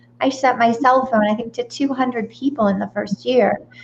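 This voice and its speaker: This is a woman with an unremarkable speaking voice. Her pitch is fairly high and her intonation fairly even. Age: 50s. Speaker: midlife empowerment coach. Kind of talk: interview. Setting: live stream.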